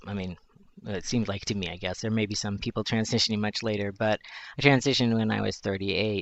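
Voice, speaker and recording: A man with a fairly low pitch and an American accent, very fast pace and fairly even intonation. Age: 40s. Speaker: journalist. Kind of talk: personal testimony.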